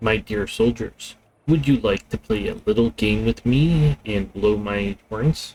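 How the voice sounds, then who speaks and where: This man adopts a put-on character voice. His delivery comes at a fairly slow pace. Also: medium pitch for a man. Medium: game stream. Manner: honeyed, condescending.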